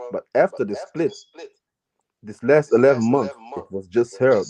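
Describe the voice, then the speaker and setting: The recording is dry and close with no echo, carrying a man's medium-pitched voice with a dark, mellow tone. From Germany. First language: German. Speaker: live stream caller. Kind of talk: casual chat.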